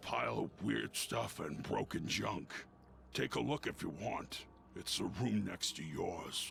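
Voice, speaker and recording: A man uses a put-on character voice, very deep and low in pitch, raspy and rumbling, at a fairly slow pace. His pitch swings very widely over clear background noise. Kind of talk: rough colloquial speech. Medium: video game. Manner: curt, grumbling.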